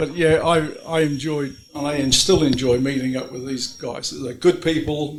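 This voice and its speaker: The speaker moves at a moderate pace with hardly any pauses and fairly even intonation. Noticeable background noise runs underneath. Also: man, fairly high pitch for a man. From England. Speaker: former truck assembly worker. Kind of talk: reminiscence at reunion. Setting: group gathering at a private home.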